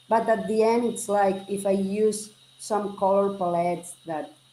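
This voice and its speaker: Very slowly, a woman speaks at medium pitch with ordinary pitch variation in a Catalan Spanish accent. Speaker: generative artist. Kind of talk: interview. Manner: halting.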